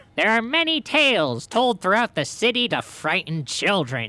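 A put-on character voice sits at a fairly high pitch with very wide pitch swings. The pace is moderate. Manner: cartoonish, nasal whining put-on.

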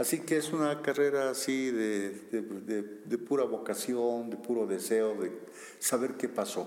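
A man with an ordinary speaking voice talks at a fairly slow pace with ordinary pitch variation. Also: medium pitch for a man. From Bolivia, Sucre. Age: 60s. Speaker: archaeologist. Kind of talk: interview.

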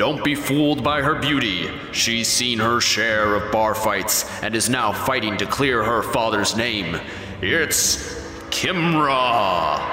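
A man in a booming, put-on character voice at a medium pitch and a fairly slow pace, with loud music in the background and a clear echo. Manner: dramatic, crowd-hyping.

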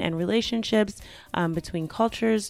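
A woman speaks fairly quickly at a medium pitch with ordinary pitch variation. She has an ordinary speaking voice. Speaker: podcast host. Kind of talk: podcast intro and episode commentary.

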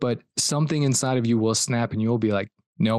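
Against a quiet background, a man with an American accent talks in a plain, everyday voice with fairly even intonation. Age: 30s. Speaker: performance coach. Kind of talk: casual interview. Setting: remote call.

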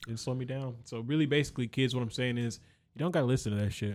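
A man speaks at a very fast pace with a medium pitch and ordinary pitch variation. The recording is very clean, with a silent background. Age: 20s. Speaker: rapper and optician. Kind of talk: casual chat.

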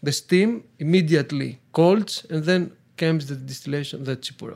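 A man with a Greek accent and ordinary pitch variation. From Greece (Athens). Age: 30s. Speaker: taverna owner. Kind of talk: casual interview. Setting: in a village restaurant. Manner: halting, frequent uh fillers.

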